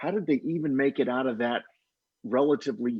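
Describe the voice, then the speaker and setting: A man's medium-pitched, plain, everyday voice. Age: 50s. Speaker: author. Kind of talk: casual panel discussion.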